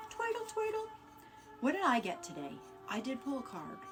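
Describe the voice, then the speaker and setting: A woman talks at a fairly quick pace. Music plays in the background, and the room echo is audible. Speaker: live-stream card reader. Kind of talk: casual live-stream chat. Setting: live stream. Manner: fast.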